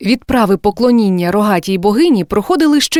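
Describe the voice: What we hear is plain reading aloud. The delivery has lively intonation.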